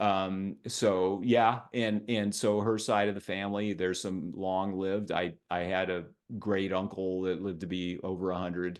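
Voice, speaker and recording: A man's very deep, low voice at a moderate pace, monotone and flat in intonation, against a quiet background. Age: 60s. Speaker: health and fitness writer, interview guest. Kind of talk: casual interview conversation. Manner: halting, many fillers and repetitions.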